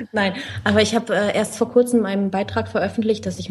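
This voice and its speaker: A woman with an ordinary speaking voice, fairly high in pitch, at a fairly quick pace. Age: 20s. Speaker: finance blogger. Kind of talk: interview.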